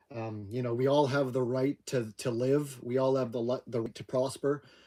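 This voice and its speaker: Medium-pitched male speech in a Maritime Canadian accent, dark and mellow, monotone and flat, at a moderate pace. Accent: Down East Canadian. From Atlantic Canada. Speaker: homesteader livestream host. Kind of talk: casual live chat.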